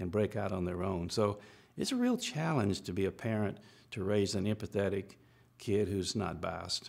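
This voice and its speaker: Over a quiet background, a man with an Alabama accent talks at a moderate pace in a fairly low pitch. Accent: Southern American (Alabama). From Alabama, US South. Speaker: civil rights attorney. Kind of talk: interview answer, expert parenting advice. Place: studio.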